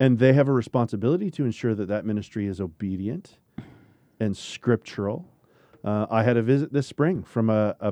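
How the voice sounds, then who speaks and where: This man has an ordinary speaking voice and moves at a fairly quick pace. His pitch varies in an ordinary way. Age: 40s. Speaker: podcast host, Bible camp ministry leader. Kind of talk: casual discussion. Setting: studio.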